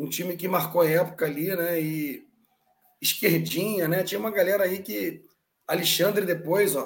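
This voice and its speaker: A high-pitched man at a moderate pace with ordinary pitch variation. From Brazil, Belo Horizonte. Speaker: football historian co-host. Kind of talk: casual chat.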